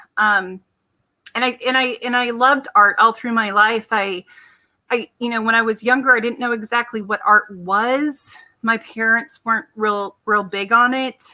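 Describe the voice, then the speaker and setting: A woman with an American accent, fairly high in pitch and bright and sharp in tone, at a moderate pace with fairly even intonation. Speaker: artist. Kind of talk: interview. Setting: remote video call.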